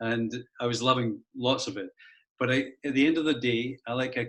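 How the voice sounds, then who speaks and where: A man of medium pitch in a flat monotone, going at a fairly slow pace. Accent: Scottish. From Scotland, Edinburgh. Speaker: school head. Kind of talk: interview. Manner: halting.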